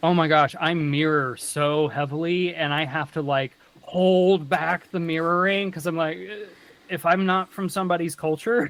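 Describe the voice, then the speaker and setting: In an American accent, a man with a high-pitched voice speaks at a moderate pace with fairly even intonation. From US South (North Carolina, Kentucky). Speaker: content creator and advocate. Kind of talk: interview.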